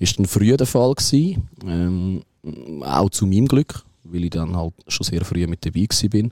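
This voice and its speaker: Speaking at a fairly slow pace with lively intonation, a man with a very deep, low pitch and a dark, mellow tone comes through a very clean recording with a silent background and a dry, close sound free of echo. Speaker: football fan leader. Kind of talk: casual chat.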